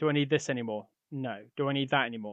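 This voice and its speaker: A man speaks in a plain, everyday voice at medium pitch with fairly even intonation. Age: 40s. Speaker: podcast host. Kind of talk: solo monologue.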